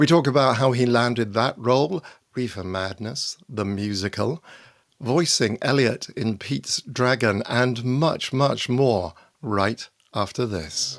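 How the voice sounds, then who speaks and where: An unremarkable speaking voice from a man, medium in pitch with ordinary pitch variation, at a fairly slow pace. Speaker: podcast host. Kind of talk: podcast intro.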